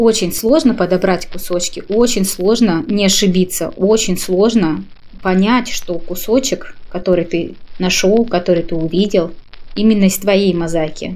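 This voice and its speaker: At a fairly slow pace, a woman speaks in an unremarkable speaking voice of medium pitch. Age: 30s. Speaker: podcast contributor sharing views on happiness. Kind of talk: personal reflective monologue.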